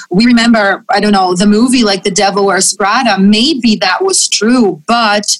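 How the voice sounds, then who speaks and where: Speaking in a Portuguese accent, a woman keeps a moderate pace. Her voice sits at a fairly high pitch. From Brazil. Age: 30s. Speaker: fashion magazine editor. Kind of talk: interview.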